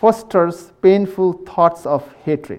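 A man speaks at a very slow pace in a high pitch, with ordinary pitch variation. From Nepal. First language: Tibetan. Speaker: Buddhist monk. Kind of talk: dharma talk to live audience. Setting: hall with live audience, microphone. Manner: halting; playful, laughs often.

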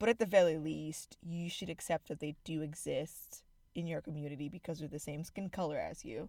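Fairly quick in pace, a woman with an American accent speaks at a very deep, low pitch. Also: ordinary pitch variation. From Zimbabwe. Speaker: podcast co-host. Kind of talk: casual chat.

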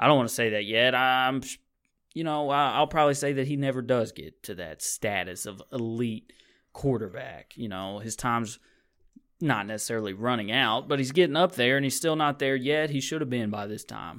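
Recorded very cleanly with a silent background, a man with a plain, everyday voice speaks at a moderate pace and a medium pitch, with ordinary pitch variation. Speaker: podcast host. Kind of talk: casual sports talk. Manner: chatty.

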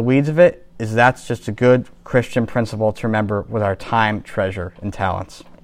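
A plain, everyday voice from a man at a medium pitch, fairly quick in pace, with ordinary pitch variation. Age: 20s. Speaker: parish talk presenter. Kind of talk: lecture.

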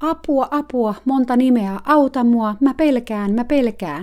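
In a put-on character voice, a female-sounding speaker talks at a high, shrill pitch. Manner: mocking imitation.

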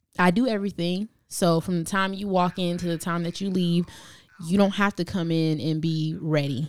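A woman with an American accent and an unremarkable speaking voice talks at a moderate pace, with fairly low pitch and fairly even intonation. The recording is very clean, with a silent background. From Brooklyn, New York. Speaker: hairstylist and salon owner. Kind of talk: casual interview.

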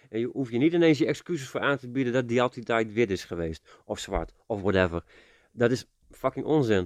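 A man's normal speaking voice at medium pitch, fairly quick, with a dry, close sound, no echo and a quiet background. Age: 40s. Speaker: podcast co-host. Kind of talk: casual chat.

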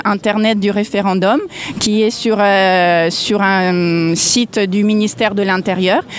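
A woman speaks at a very slow pace with fairly even intonation amid noticeable background noise. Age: 40s. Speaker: citizen activist. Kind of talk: street interview. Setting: outdoors on a public square. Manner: hesitant, many fillers.

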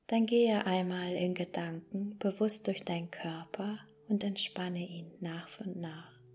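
A woman talks in an ordinary speaking voice. Her intonation stays fairly even. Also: medium pitch for a woman. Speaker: pastor. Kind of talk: guided meditation with affirmations. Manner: slow, calm and soothing, with long pauses; gentle, warm and unhurried.

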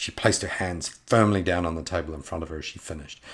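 With a theatrical, dramatic tone, a man talks at a very fast pace in a very deep, low pitch, somewhat breathy and with fairly even intonation. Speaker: podcast host and author reading his own fantasy novel. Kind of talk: dramatic narration of fantasy fiction, reading aloud with character voices.

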